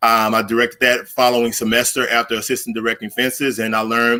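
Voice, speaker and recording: Speaking at a fairly quick pace, a man with a Southern US accent has a bright, sharp tone. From Arkansas Delta, US South. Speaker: theater director and academic. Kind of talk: conference presentation. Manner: halting, many fillers.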